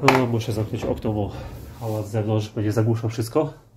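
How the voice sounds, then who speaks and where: Amid noticeable background noise, a man talks at a medium pitch in a monotone, flat way. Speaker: car DIY youtuber. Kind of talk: tutorial. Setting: home workspace. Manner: casual, with filler sounds.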